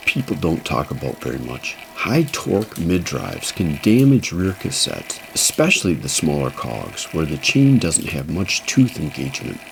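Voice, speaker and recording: A man's very deep, low voice with very wide pitch swings and hardly any pauses, over noticeable background noise. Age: 60s. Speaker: e-bike mechanic and reviewer. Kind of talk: talking-head explainer. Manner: casual, conversational.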